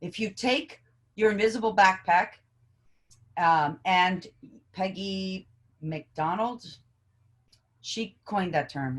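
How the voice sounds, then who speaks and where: A woman talks with lively intonation. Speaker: educator and trauma specialist. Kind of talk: interview conversation. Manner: loud.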